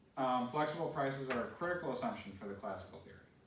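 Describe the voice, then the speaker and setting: Audible room echo surrounds a man as he speaks. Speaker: economics lecturer. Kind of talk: lecture. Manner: fast; casual, filler-heavy.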